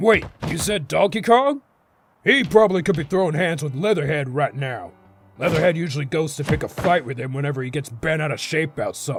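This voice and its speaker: Putting on a character voice at a fairly high pitch, a man talks at a fairly quick pace with faint music in the background. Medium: machinima. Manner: folksy, easygoing.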